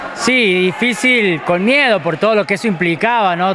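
Through noticeable background noise, a man speaks at a high pitch with ordinary pitch variation. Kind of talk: interview answer. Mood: happy, moved. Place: hall.

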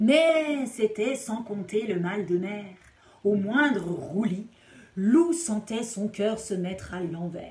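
The speaker is reading aloud in a natural voice, and the intonation is lively.

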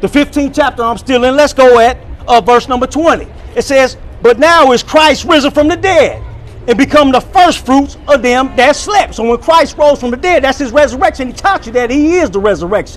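This man speaks in an animated tone at a moderate pace, with ordinary pitch variation and an extremely high pitch. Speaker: online preacher reacting to another preacher. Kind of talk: sermon-style commentary. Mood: argumentative, rebutting. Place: street. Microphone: phone near.

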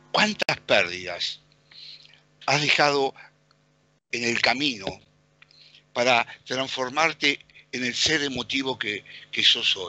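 A man speaks at a very slow pace with long, frequent pauses. His intonation is lively, and the sound is dry with no echo. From Argentina. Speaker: radio co-host. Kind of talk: radio interview. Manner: hesitant, many fillers. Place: home room. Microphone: headset.

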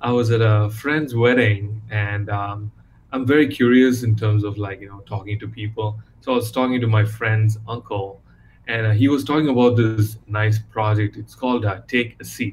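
Fairly low in pitch and somewhat breathy, a man talks at a moderate pace with fairly even intonation over light background noise. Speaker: interview guest. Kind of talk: interview answer. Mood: warm, engaged. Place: home room. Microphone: video call.

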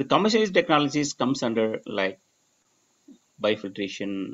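A man in a Tamil accent at a moderate pace. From Tamil Nadu, India. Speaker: research professor. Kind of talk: lecture. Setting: video call. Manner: halting. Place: home room. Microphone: webcam.

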